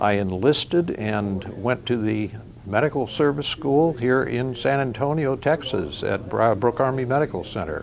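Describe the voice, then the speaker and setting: A man with a medium-pitched voice and ordinary pitch variation talks at a moderate pace while noticeable background noise runs underneath. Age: 80s+. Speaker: Korean War veteran. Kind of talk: testimony.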